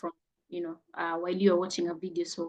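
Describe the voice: This woman talks fast in a fairly low voice with a slightly mellow tone and little pitch movement.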